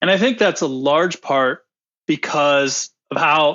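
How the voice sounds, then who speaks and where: An American-accented man speaks in a normal speaking voice. His pitch is fairly high, with ordinary variation. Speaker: equity research director. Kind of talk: interview podcast.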